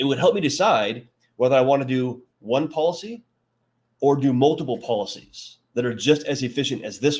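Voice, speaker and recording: The man speaks with a fairly high pitch. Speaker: financial advisor. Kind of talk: live webinar presentation. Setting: livestream with chat. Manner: fast; animated.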